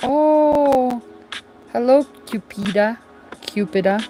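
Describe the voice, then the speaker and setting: A woman's fairly high voice with lively intonation, music in the background. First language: not English (English is fifth language). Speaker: crochet livestreamer. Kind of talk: casual livestream chat while crocheting. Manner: hesitant, many fillers.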